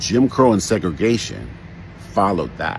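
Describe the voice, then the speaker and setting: A man speaks with an American accent over noticeable background noise. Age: 60s. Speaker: social commentator. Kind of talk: commentary monologue.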